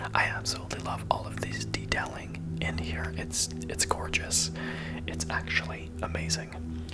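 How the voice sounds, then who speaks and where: The speaker whispers, soft-spoken, at a moderate pace. Noticeable background noise sits behind the voice. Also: man. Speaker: ASMR content creator and Minecraft streamer. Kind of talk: casual talk to camera, ASMR gameplay narration. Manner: whispered, soft-spoken.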